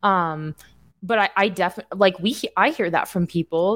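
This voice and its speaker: A woman speaks at a moderate pace and medium pitch in a plain, everyday voice, on a very clean recording with a silent background. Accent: American. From Indiana. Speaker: financial coach. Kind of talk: casual chat.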